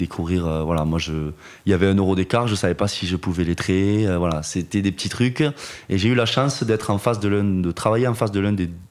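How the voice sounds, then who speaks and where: In a Toulouse accent, a man with a very deep, low pitch talks at a fairly quick pace with ordinary pitch variation. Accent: southern French (Toulouse). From Toulouse region, southwest France. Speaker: wealth management engineer, trained accountant. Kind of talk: podcast interview answer. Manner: hesitant, many fillers.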